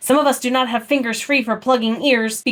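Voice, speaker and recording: A woman puts on a character voice, growling at a high pitch with fairly even intonation and a fairly quick pace. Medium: read story. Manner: dry, sardonic.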